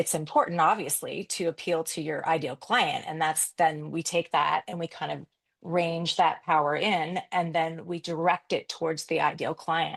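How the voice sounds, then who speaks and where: In an ordinary speaking voice, a woman with a fairly low pitch talks at a moderate pace with hardly any pauses and fairly even intonation, the sound dry and close with no echo against a quiet background. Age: 50s. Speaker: photographer and business coach. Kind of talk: interview.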